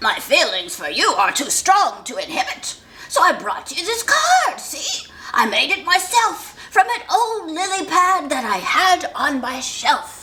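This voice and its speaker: A put-on character voice at an extremely high pitch moves through very wide pitch swings at a fairly slow pace. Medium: read story.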